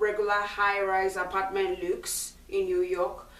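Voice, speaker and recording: In a strong Nigerian accent, a woman speaks fairly slowly at a medium pitch with monotone, flat intonation, amid noticeable background noise and audible room echo. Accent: thick Nigerian. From Nigeria (Lagos). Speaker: schoolteacher. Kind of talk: video Q&A for schoolchildren. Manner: clear, slightly halting with ums.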